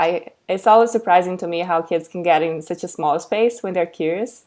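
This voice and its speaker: A woman talks in a fairly low pitch with a Portuguese accent. Her pace is moderate and her intonation fairly even. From Brazil. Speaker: educator and content creator. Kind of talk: webinar presentation. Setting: online webinar. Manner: halting, many fillers.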